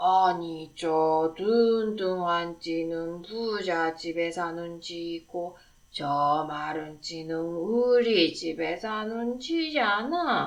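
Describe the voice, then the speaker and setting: A woman uses a put-on character voice at a fairly low pitch with ordinary pitch variation. She speaks at a very slow pace. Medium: read story.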